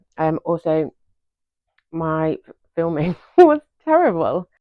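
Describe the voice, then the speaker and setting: A woman speaks in a British accent. Her pitch sits fairly low. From United Kingdom. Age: 40s. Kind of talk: casual talk to camera.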